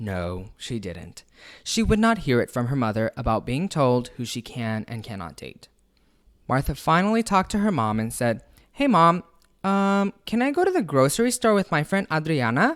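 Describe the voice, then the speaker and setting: The background is silent on a very clean recording. Words come at a moderate pace. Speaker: storyteller. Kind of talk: read story.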